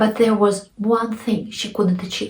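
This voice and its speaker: A woman speaks with a Russian accent. Her pitch sits at a medium level. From Russia (Nizhny Novgorod). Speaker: author, storyteller. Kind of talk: personal story told to camera. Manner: humorous, anecdotal.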